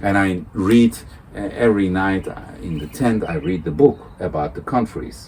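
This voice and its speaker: A man with a Turkish accent speaks in a very deep, low voice at a moderate pace with lively intonation. Noticeable background noise can be heard. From Turkey. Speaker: world touring cyclist. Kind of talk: interview. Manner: halting.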